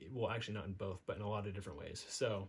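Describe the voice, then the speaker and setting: A very fast pace with a somewhat breathy delivery. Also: man. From Nevada, US (North Las Vegas). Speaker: entrepreneur, digital marketer. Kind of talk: casual monologue. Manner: hesitant, many fillers.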